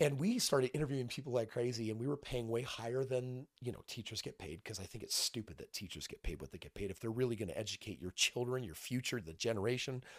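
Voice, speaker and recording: A man talks at a very fast pace in an animated tone, recorded with a dry, close sound and no echo. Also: medium pitch for a man, ordinary pitch variation, hardly any pauses. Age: 40s. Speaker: real estate investor and entrepreneur. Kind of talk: casual chat. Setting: studio. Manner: animated, lots of inflection.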